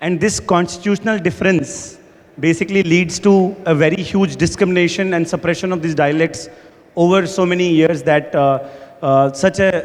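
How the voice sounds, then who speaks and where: Speech with a Haryana accent moves at a moderate pace with fairly even intonation over noticeable background noise. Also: man, high pitch for a man. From India, rural Haryana. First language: Haryanvi. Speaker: startup founder. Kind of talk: panel discussion. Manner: mixes Hindi and English.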